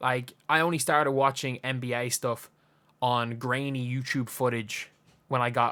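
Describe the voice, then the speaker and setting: In an Irish accent, the voice has a bright, sharp tone and a monotone, flat intonation, in a very clean recording with a silent background. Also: man. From Ireland. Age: 20s. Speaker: basketball YouTuber. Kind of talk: casual commentary monologue. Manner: conversational, with false starts.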